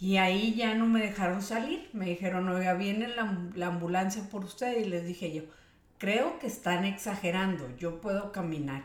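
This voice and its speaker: A woman with a northern Mexican accent talks at a fairly quick pace, her pitch in the medium range. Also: ordinary pitch variation. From Mexico, Monterrey. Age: 50s. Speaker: homemaker, interviewee. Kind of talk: casual interview.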